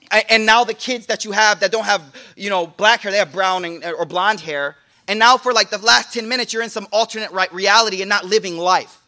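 A man with a high-pitched, bright, sharp voice speaks in a raised, projected, animated tone at a fairly quick pace, in a very clean recording with a silent background and a dry, close sound with no echo. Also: ordinary pitch variation. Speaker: Islamic teacher. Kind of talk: sermon. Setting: live in-person class with audience. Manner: animated, punchy.

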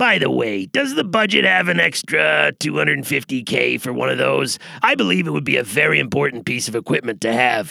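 Putting on a character voice, a man speaks in a raspy tone at a medium pitch and a moderate pace with hardly any pauses. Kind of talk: comic military jargon. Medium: audio drama. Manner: clipped, formal, military.

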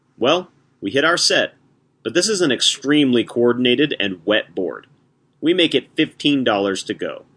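A fairly high male voice, bright and sharp in tone, with vocal fry, very wide pitch swings and a fairly slow pace. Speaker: announcer and hand reader. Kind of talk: scripted announcement and reading.

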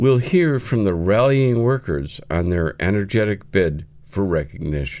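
This man has a plain, everyday voice with a fairly low pitch and lively intonation. His pace is moderate. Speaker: radio host. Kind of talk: news anchoring.

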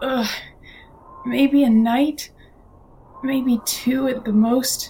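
Putting on a character voice, a woman speaks very slowly in a high, raspy voice. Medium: read story. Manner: earnest, self-reproaching.

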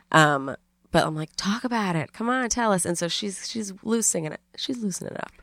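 On a very clean recording with a silent background and a dry, close sound with no echo, a woman uses an ordinary speaking voice at a medium pitch, a fairly quick pace and lively intonation. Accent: American. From New York City. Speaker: comedian and podcaster. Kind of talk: casual interview chat.

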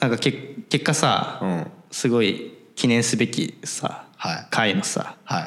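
Here is a man with a plain, everyday voice at a medium pitch. His intonation is lively. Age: 20s. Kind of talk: casual chat.

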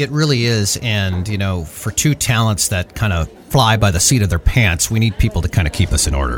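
Over noticeable background noise, a man with an American accent talks at a fairly quick pace with hardly any pauses, a fairly low pitch and lively intonation. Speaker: voice actor and podcast host. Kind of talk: casual chat. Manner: laid-back.

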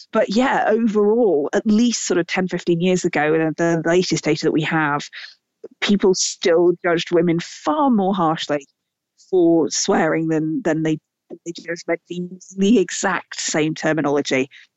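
A woman with a British accent speaks in a fairly low pitch, using ordinary pitch variation. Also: fairly slow pace. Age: 40s. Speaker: author and scientist. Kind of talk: interview.

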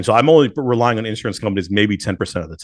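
Words tumble out at a very fast pace from a man. The recording is very clean, with a silent background. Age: 30s. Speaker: pharmacy owner. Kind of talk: casual interview.

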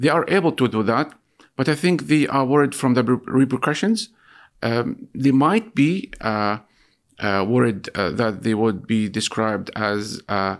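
A man speaks with lively intonation in an Arabic accent. The recording is very clean, with total silence behind him. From Gaza City, Palestine. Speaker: journalist. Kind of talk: interview. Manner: hesitant, many fillers.

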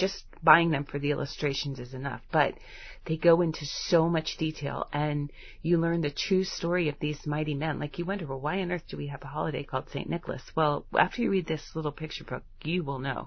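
At a fairly quick pace, a woman speaks with a very deep, low pitch and a somewhat breathy sound. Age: 50s. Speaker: homeschooling podcast host. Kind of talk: solo podcast talk. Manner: animated.

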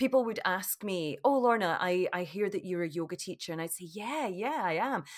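A woman at a medium pitch and moderate pace, with lively intonation, hardly any pauses, and a very clean recording with a silent background. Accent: Scottish. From Scotland. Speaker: yoga teacher. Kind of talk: casual interview. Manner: laughs loudly.

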